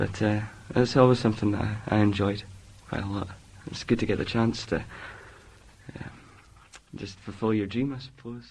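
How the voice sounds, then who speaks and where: A man's fairly low voice at a moderate pace with fairly even intonation and long, frequent pauses. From northeast Scotland, Elgin. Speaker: drama student. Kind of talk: casual interview answers; reading aloud. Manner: halting, many fillers.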